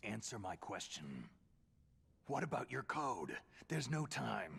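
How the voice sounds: A man's put-on character voice, fairly low-pitched, with vocal fry, a husky, rough edge, a fairly bright tone, big pitch swings and a slow pace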